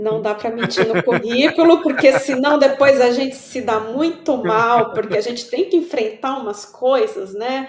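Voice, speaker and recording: Someone with a São Paulo accent talks at a fairly slow pace with lively intonation, and there is noticeable background noise. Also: woman, high pitch for a woman, hardly any pauses. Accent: Paulistano. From São Paulo, Brazil. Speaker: writer. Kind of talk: casual chat.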